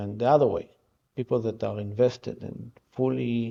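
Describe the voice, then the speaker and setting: A man's somewhat breathy, medium-pitched voice with fairly even intonation, in an Israeli accent. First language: Hebrew. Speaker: art festival founder. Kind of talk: interview. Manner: halting.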